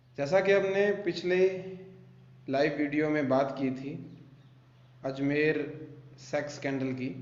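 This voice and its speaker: This man's voice sits at a fairly high pitch, with ordinary pitch variation and long, frequent pauses. Audible room echo surrounds him. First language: Bagri (speaking Hindi). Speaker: YouTuber and film director. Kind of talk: true crime storytelling on a live video.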